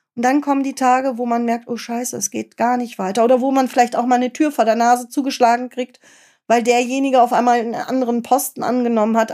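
A woman's high, dark and mellow voice, monotone and flat, fairly quick, in a very clean recording with a silent background. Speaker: podcast host and patient advocacy founder. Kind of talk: podcast interview.

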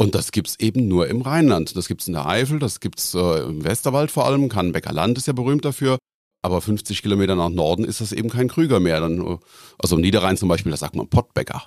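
A man speaks at a very fast pace with a fairly low pitch. His pitch swings very widely. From Rhineland-Palatinate, Koblenz area. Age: 50s. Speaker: genealogist. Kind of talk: interview.

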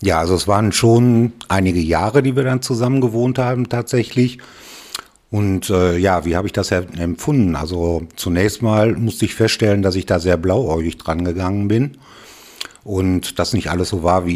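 With a very deep, low pitch, this man talks using ordinary pitch variation. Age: 60s. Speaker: retired father, interview guest. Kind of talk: casual interview.

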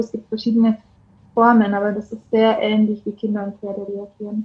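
A woman's fairly high, somewhat breathy voice with a dark, mellow tone and flat, monotone intonation. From Bavaria, Germany. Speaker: coach. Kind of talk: casual chat.

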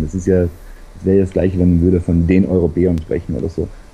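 A dark, mellow, somewhat breathy voice moves at a very fast pace. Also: man. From South Tyrol. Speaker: travel blogger. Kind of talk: casual interview.

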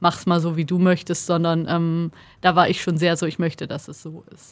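The delivery is monotone and flat, at a moderate pace. The recording is very clean, with a silent background. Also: woman. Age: 30s. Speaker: podcast co-host, journalist. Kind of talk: casual chat. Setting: studio.

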